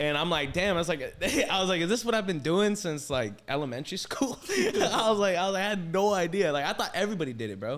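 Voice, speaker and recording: A man with an animated tone and a high voice speaks at a very fast pace, his pitch swinging very widely over noticeable background noise. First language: Assyrian. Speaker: podcast host. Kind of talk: casual chat.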